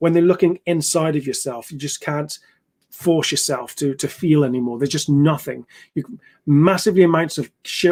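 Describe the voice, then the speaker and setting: This man has a British accent and a fairly high pitch with ordinary pitch variation. The sound is dry and close, with no echo. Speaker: ex-soldier and trauma therapist. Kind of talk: educational talk on live stream. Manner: fast; halting with fillers.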